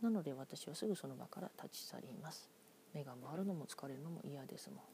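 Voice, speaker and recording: Lively intonation runs through a somewhat breathy voice with a dark, mellow tone. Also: woman. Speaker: podcaster. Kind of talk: solo monologue. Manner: slow.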